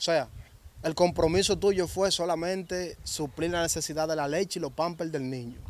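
Speaking at a moderate pace with a Dominican accent, a man with a high pitch keeps his intonation fairly even, and the sound is dry with no echo. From Dominican Republic. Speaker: interviewer, channel host; interviewer. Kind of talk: interview. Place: open country. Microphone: handheld.

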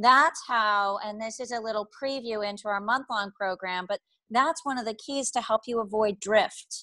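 Against a quiet background, a woman with an American accent speaks at a fairly high pitch in a bright, sharp tone, the sound dry with no echo. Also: ordinary pitch variation, moderate pace. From Boston. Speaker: life coach. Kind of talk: webinar presentation. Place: home room. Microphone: earbuds.

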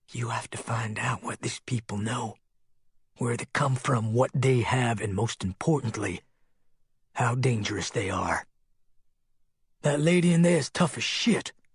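Doing a put-on character voice, a man speaks in a raspy, medium-pitched tone at a moderate pace with long, frequent pauses, the sound dry and close with no echo. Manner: cold, businesslike.

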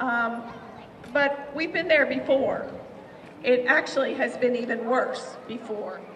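A woman with an American accent, high pitch and warm tone, very slow pace, long and frequent pauses, ordinary pitch variation, and light background noise. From West Virginia. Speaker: state legislator. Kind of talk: rally speech to a crowd. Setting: outdoor rally, crowd. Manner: earnest, rousing; warm, emotional. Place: street. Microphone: podium.

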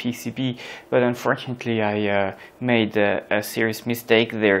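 Monotone, flat intonation marks this man's voice. He talks at a fairly slow pace. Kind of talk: tutorial. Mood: calm, explanatory. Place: workshop.

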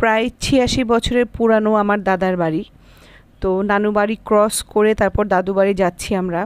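A woman's voice with fairly even intonation and very even loudness, with a dry sound and no echo. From Bangladesh, Chuadanga; Bangladesh. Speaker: vlogger. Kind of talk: travel vlog. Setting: in a car. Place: car. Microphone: phone near.

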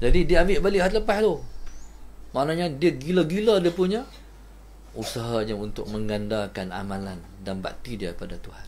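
At a moderate pace, a man speaks with very wide pitch swings and big swings in loudness over light background noise. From Malaysia. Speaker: religious teacher. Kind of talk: religious lecture. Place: home room.

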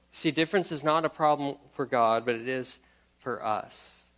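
At a moderate pace and with ordinary pitch variation, a man speaks with an American accent against a quiet background. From US South, Memphis, Tennessee; Tennessee. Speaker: pastor. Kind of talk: sermon. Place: church.

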